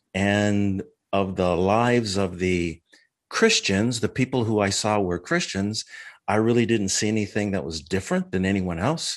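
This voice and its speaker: A man with an American accent uses an ordinary speaking voice, fairly low in pitch with ordinary pitch variation, at a fairly slow pace against a quiet background. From Minnesota, US Midwest. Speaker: martial arts instructor. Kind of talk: interview testimony.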